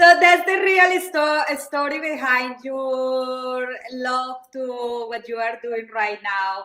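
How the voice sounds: A woman's high-pitched, bright, sharp voice at a slow pace, with ordinary pitch variation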